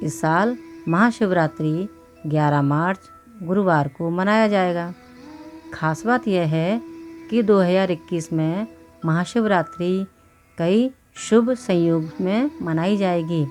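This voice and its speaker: A woman's fairly low voice with ordinary pitch variation, long and frequent pauses, and music in the background. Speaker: voice over artist. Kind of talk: devotional explainer narration.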